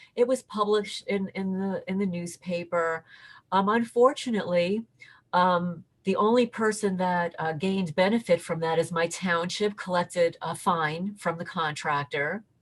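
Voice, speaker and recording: Pitch varies in an ordinary way and the voice is somewhat breathy. The background is quiet. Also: woman, medium pitch for a woman, moderate pace. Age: 60s. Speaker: interviewee reporting harassment. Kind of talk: interview testimony. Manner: halting, repeats words.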